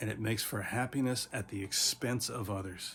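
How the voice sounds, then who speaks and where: A man speaks at a moderate pace. His pitch varies in an ordinary way. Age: 60s. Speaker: teacher. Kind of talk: casual motivational talk.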